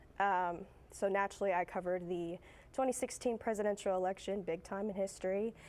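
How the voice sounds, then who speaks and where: A woman with an American accent speaks in a plain, everyday voice at a fairly quick pace. Her pitch is medium and her intonation fairly even, on a very clean recording with a silent background. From Central Texas. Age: 20s. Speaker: TV news producer. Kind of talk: guest talk to students. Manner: casual, many fillers.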